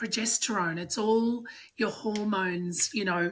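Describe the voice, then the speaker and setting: In an Australian accent, a woman speaks at a fairly slow pace. Her pitch varies in an ordinary way. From Australia, Sydney. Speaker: strength coach. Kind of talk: podcast interview.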